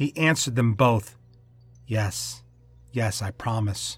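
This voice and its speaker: On a very clean recording with a silent background, a man speaks in a sinister, somewhat breathy tone with ordinary pitch variation. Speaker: fiction podcast narrator. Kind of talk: horror narration; scripted fiction reading. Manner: theatrical, relishing dark menace; slow, ominous, with sinister laughs.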